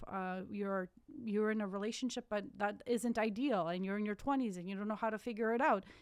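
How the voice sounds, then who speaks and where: A woman does the talking. Her voice is medium in pitch. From Ukraine, then Canada from age ten. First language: Ukrainian or Russian. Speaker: podcast co-host. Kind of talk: casual chat.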